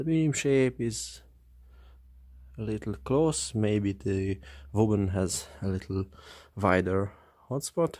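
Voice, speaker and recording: A man with a non-native accent speaks very slowly at a fairly low pitch, with very wide pitch swings and long, frequent pauses. The recording is very clean, with a silent background. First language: not English. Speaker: flashlight reviewer. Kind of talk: product review.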